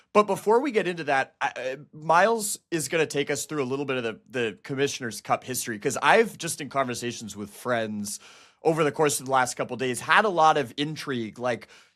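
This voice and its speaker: In an unremarkable speaking voice, a man talks at a fairly quick pace with lively intonation on a very clean recording with a silent background. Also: fairly high pitch for a man. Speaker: women's basketball reporter and podcast co-host. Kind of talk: casual podcast chat.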